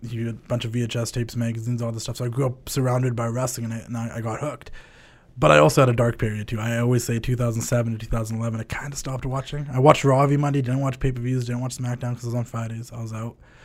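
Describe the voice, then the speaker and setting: Speaking at a very fast pace, a man uses a medium pitch with an animated, upbeat tone. His voice is somewhat breathy. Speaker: wrestling show host and brand founder. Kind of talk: wrestling show intro, hyped ring-announcer style opening. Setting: studio, recorded for YouTube. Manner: animated, hyped, showman-like; casual and upbeat.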